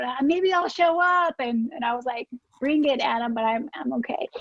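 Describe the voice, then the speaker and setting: A woman with a slight Alabama accent speaks at a moderate pace with lively intonation. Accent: faint Alabama. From US South, South Alabama. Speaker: political advocate and lawyer. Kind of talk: informal talk.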